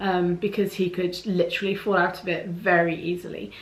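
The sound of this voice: Audible room echo surrounds a woman as she speaks.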